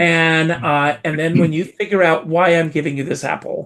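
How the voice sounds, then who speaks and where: A man with an American accent and an unremarkable speaking voice, fairly high-pitched, at a moderate pace with fairly even intonation. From US South, South Carolina. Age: 60s. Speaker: entertainer. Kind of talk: interview storytelling.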